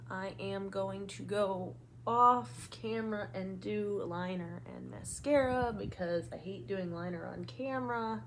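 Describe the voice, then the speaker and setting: Talking fairly slowly with hardly any pauses, a woman's loudness swings widely as her voice carries audible room echo. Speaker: beauty vlogger. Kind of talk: makeup tutorial. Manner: casual, chatty.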